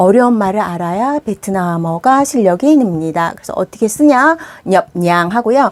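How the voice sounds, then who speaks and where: A woman talks at a medium pitch. Her pitch swings very widely. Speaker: Vietnamese language teacher. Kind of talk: tutorial. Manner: fast.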